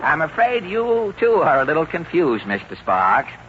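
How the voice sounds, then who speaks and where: A man talks at a moderate pace with very even loudness. Noticeable background noise runs under his voice. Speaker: radio comedy performer.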